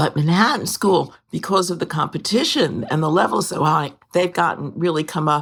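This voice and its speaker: A woman with a very deep, low voice and vocal fry speaks at a moderate pace with ordinary pitch variation. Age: 80s+. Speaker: piano teacher. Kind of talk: casual chat. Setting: video call.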